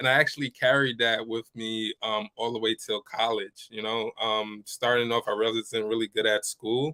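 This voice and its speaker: In a New York accent, the voice runs at a moderate pace with hardly any pauses and a flat, monotone intonation. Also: man, medium pitch for a man. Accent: New York American. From New York, US (born Ivory Coast). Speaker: business coach. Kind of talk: interview.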